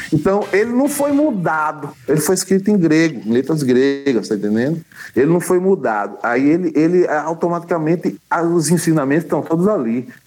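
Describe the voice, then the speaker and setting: The speaker has a plain, everyday voice, very even loudness, a moderate pace and lively intonation. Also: man, fairly high pitch for a man. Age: 50s. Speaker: musician. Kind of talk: casual chat. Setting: video call.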